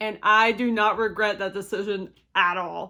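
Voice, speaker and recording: A woman with a bright, sharp tone and a fairly high pitch speaks in a Kentucky accent on a very clean recording with a silent background. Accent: Kentucky twang. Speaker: movie reviewer. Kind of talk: casual review to camera. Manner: enthusiastic, upbeat.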